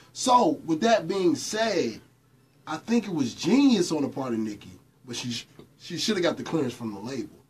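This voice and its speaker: A man talks at a moderate pace, breaking often into long pauses. His pitch swings very widely. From US South and New York. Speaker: radio personality and former rapper; radio personality. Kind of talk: casual chat. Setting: studio with live audience. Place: studio.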